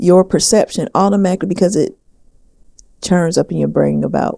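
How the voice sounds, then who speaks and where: Here a woman speaks with a Southern US accent. Her audio is dry and close, without any echo. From US South. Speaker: podcast co-host. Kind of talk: casual chat.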